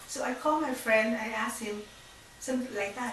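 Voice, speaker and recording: A woman with a Vietnamese accent and a fairly high pitch speaks at a fairly slow pace, with audible room echo and noticeable background noise. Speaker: faith testimony speaker. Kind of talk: testimony. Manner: halting.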